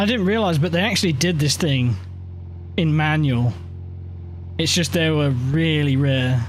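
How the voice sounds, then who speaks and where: A man with a fairly high pitch and lively intonation speaks at a moderate pace with long, frequent pauses and very even loudness. Audible room echo and noticeable background noise fill the recording. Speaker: sim racing streamer. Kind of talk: casual chat. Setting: live stream. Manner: mumbling.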